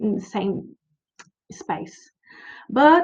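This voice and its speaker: At a fairly slow pace, a woman speaks with a Brazilian Portuguese accent. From Brazil, Curitiba. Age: 30s. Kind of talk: conference presentation. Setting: virtual conference. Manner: halting.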